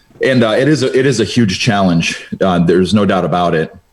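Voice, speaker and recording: A man with an American accent speaks at a fairly quick pace and a fairly low pitch. Noticeable background noise can be heard. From Cleveland, Ohio. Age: 30s. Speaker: insurance business owner. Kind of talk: casual interview.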